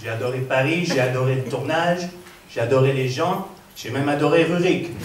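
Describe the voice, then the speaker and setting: A man speaks at a moderate pace with a fairly high pitch and ordinary pitch variation. Room echo and noticeable background noise are audible. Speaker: actor. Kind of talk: festival stage speech.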